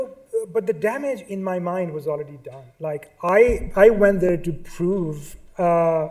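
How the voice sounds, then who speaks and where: A man speaks at a very slow pace in a dark, mellow tone. Audible room echo surrounds his voice. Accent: Pakistani. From Pakistan. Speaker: artist. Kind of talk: lecture. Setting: stage with audience. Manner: halting.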